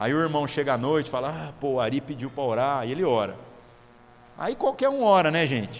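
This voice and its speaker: Noticeable background noise accompanies a man talking at a fairly quick pace in a fairly high pitch. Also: ordinary pitch variation. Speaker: pastor. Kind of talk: sermon. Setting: church.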